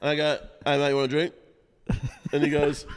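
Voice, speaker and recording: A man speaks in an Australian accent with a fairly high pitch. Noticeable background noise can be heard. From Australia, South West Sydney. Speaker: rapper and music producer. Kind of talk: casual chat. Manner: animated.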